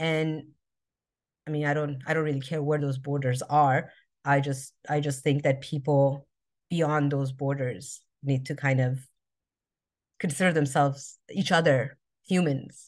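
A woman with an American accent and a very deep, low pitch speaks in a monotone, flat intonation with long, frequent pauses. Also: fairly slow pace, quiet background. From Albuquerque, New Mexico, US. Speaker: social justice activist. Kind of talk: interview conversation. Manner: halting, many fillers.

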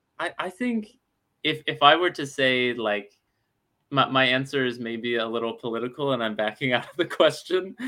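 Speaking at a moderate pace with an American accent, a man has an ordinary speaking voice at a medium pitch with ordinary pitch variation. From Alabama, US South. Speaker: startup founder. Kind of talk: webinar interview.

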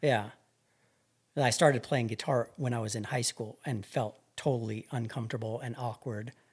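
A somewhat breathy man speaks with a medium pitch. His pace is moderate and his intonation fairly even. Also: very clean recording, silent background. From New Mexico, Albuquerque. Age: 40s. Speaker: hunting guide. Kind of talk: casual interview.

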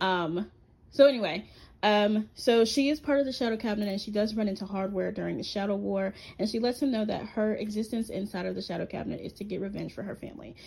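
Speaking at a very fast pace, a woman with a somewhat breathy, medium-pitched voice shows ordinary pitch variation and big swings in loudness, captured in a very clean recording with a silent background. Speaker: podcast host. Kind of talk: solo monologue about comic characters.

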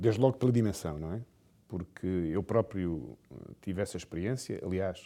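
A man's very deep, low voice, dark and mellow with vocal fry, lively intonation and a moderate pace. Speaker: business executive. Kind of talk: interview.

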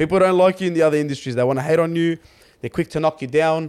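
A man's medium-pitched voice rushes along very fast in a very clean recording with a silent background. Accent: Australian. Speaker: sports podcast co-host. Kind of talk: casual chat. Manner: animated.

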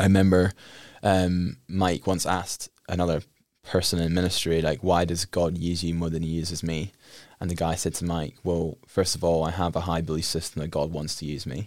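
With an Edinburgh accent, a man talks at a moderate pace in a very deep, low pitch and a monotone, flat intonation, recorded very cleanly against a silent background. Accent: plain, smooth Edinburgh Scottish. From Scotland, Edinburgh. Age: 20s. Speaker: guest sharing faith testimony. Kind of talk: testimony. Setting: radio studio.

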